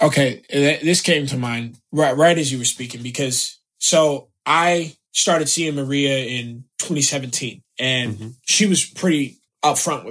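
With an American accent and a plain, everyday voice, a man speaks at a fairly slow pace with hardly any pauses, a fairly high pitch and ordinary pitch variation. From US South, South Florida. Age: 20s. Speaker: actor. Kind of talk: casual chat.

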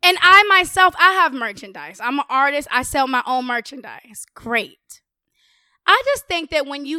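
With an American accent, a woman speaks in a raised, projected voice, high-pitched and bright and sharp in tone, with lively intonation. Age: 20s. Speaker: rapper and podcaster. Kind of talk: casual chat.

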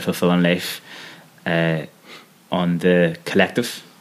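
In a Belfast accent, a man speaks at a very deep, low pitch. His pace is fairly slow and his intonation monotone and flat. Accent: Belfast Northern Irish. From Northern Ireland, West Belfast. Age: 30s. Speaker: podcast host. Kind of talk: interview conversation.

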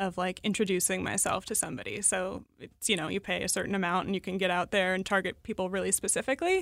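In a very clean recording with a silent background, a woman with an American accent speaks at a very fast pace. Her medium-pitched voice has a bright, sharp tone, vocal fry, and a monotone, flat intonation. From Seattle, US Pacific Northwest. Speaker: online clothing shop founder. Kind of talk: casual interview. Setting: studio.

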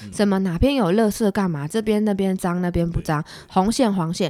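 She talks at a medium pitch and a moderate pace. This woman has a normal speaking voice with ordinary pitch variation. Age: 20s. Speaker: city councillor. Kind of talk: interview.

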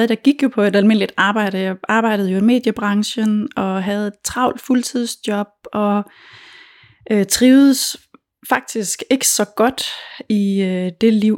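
A woman's fairly high-pitched voice at a fairly slow pace, a normal speaking voice. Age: 40s. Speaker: food blogger and cookbook author. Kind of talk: interview.

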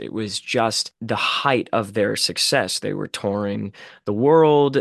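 A man with an American accent, in a dry, close sound with no echo and a quiet background. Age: 20s. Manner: animated.

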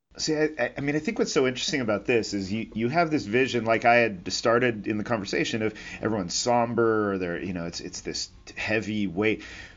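Talking at a fairly quick pace, a man with an ordinary speaking voice keeps a medium pitch with ordinary variation. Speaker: aviation podcast host. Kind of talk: interview.

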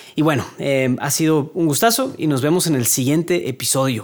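This man talks with a voice pitched fairly high. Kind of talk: casual monologue. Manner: stuttering, hesitant.

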